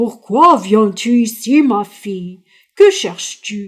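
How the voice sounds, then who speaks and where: In a put-on character voice, a woman speaks with a fairly high pitch. Her pace is very slow, with ordinary pitch variation. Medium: read story. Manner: slow, solemn.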